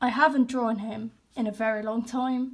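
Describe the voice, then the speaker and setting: On a very clean recording with a silent background, a woman speaks in a high pitch at a fairly slow pace. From Netherlands. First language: Dutch. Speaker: artist, hobby YouTuber. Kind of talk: casual sketchbook walkthrough. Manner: casual, hesitant with fillers.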